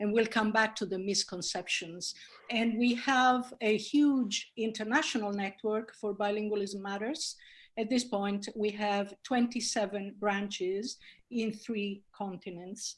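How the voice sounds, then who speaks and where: A somewhat breathy woman speaks with an Italian accent. Her pitch is fairly high. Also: fairly even intonation, fairly slow pace. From Italy. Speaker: linguistics professor. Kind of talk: webinar talk.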